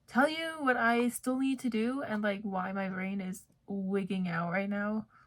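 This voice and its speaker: Somewhat breathy, a woman's medium-pitched voice shows ordinary pitch variation. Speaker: vlogger, grad student. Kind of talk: casual vlog talk to camera.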